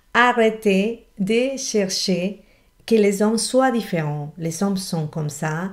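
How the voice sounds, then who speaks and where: A woman speaks at a very slow pace against a quiet background. Her pitch varies in an ordinary way. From Colombian Amazon. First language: Spanish (speaking French). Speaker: relationship coach. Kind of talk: motivational video talk. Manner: animated. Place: home room. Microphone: webcam.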